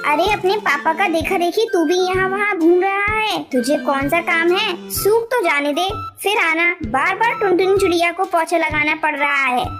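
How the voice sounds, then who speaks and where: A cartoonish character voice, female-sounding and extremely high-pitched, goes at a moderate pace over clear music in the background. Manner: motherly, firm.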